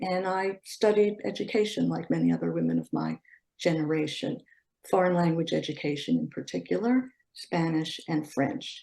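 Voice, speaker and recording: A woman at a moderate pace with a Philadelphia accent. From US Northeast, Philadelphia. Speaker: educator and civics advocate. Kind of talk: interview. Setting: video call.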